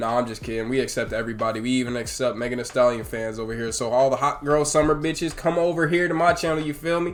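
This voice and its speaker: A man's animated, very fast speech with hardly any pauses and ordinary pitch variation, amid noticeable background noise and audible room echo. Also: medium pitch for a man. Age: adult. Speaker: YouTube reaction host. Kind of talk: casual reaction commentary.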